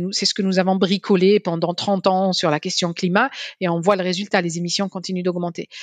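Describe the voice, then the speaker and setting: Dry and close with no echo, a woman's ordinary speaking voice sits at medium pitch with fairly even intonation and a fairly quick pace. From Algeria, Algiers. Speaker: energy policy scientist and economist. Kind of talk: interview.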